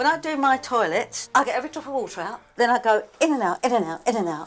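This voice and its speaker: A woman talks at a very fast pace in a high, animated voice. Her pitch swings very widely. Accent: English. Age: 70s. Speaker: obsessive cleaner. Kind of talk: interview to camera; reality TV conversation.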